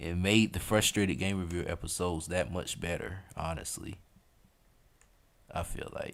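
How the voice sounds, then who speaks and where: A man in a strong Southern US accent. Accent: thick southern US. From US South, Atlanta. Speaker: streamer. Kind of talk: casual chat. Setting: live stream. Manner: animated.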